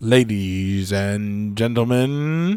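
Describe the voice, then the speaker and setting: A man puts on a booming character voice at a medium pitch. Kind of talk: formal announcement.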